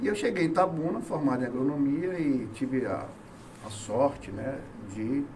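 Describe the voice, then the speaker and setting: Audible room echo surrounds this voice, along with noticeable background noise. The speaker is a man. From Bahia, Brazil (Salvador). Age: 50s. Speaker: businessman and former hospital manager. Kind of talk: interview chat on local politics.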